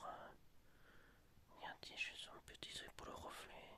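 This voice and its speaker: Whispering at a fairly slow pace, a man speaks. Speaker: YouTuber showing flea market finds. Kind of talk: ASMR show-and-tell. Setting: at home. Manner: soft-spoken; hesitant, many fillers.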